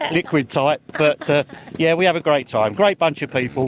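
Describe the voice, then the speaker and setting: A man talks at a fairly quick pace with ordinary pitch variation. Noticeable background noise runs under his voice. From England, Essex. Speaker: motorsport mechanic and trials rider. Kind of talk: casual interview. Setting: outdoors.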